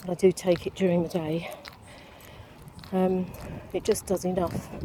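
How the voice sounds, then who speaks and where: A woman's fairly slow speech over noticeable background noise. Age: 60s. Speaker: vlogger living with dystonia. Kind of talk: casual personal vlog. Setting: outdoors on a walk. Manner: hesitant, many fillers.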